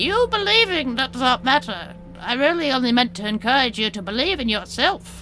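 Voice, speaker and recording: Over clear music in the background, a put-on character voice with a fairly high pitch sounds croaky with a gentle tone at a moderate pace. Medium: actual play. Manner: cryptic, gentle, knowing.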